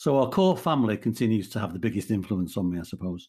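Against a quiet background, a man at medium pitch speaks with lively intonation in an unremarkable speaking voice. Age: 60s. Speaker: radio presenter and charity chief executive. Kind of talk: casual interview chat.

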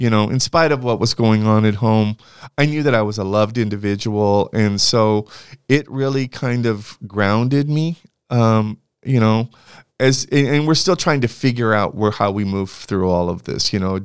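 With a Californian accent, a man talks at a medium pitch and moderate pace with ordinary pitch variation, on a very clean recording with a silent background. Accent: Californian American English. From California (Santa Barbara). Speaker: university administrator and political scientist. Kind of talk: interview conversation.

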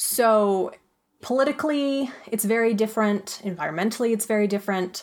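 A plain, everyday voice with an American accent. It moves at a fairly quick pace with ordinary pitch variation. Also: woman, fairly high pitch for a woman. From Flagstaff, Arizona. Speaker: audio drama creator and writer. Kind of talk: casual interview.

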